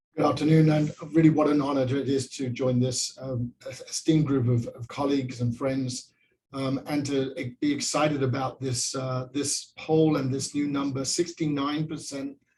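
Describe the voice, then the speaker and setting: A fairly high-pitched man with a British accent, flat monotone intonation, a moderate pace and hardly any pauses. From England. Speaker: pastor. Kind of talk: panel remarks. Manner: hesitant, many fillers.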